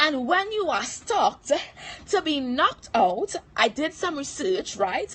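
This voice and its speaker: A woman talks at a fairly slow pace in a high pitch. Her pitch swings very widely, and background noise is noticeable. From Trinidad. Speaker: motivational speaker / livestream host. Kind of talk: motivational livestream talk. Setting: live stream. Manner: animated.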